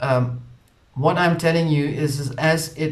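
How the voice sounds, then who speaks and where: Somewhat breathy and fairly high in pitch, a man with a South African accent speaks at a fairly slow pace amid audible room echo. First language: Afrikaans. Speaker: spiritual channel host. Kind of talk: casual monologue.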